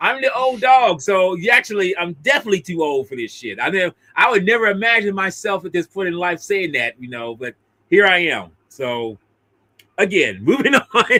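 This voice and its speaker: In a raised, projected voice, a man speaks at a high pitch with very wide pitch swings and big swings in loudness. His tone is bright and sharp, his pace is moderate, and the sound is dry and close with no echo. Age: 50s. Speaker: podcast host discussing films. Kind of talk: casual chat. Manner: halting, many fillers and restarts.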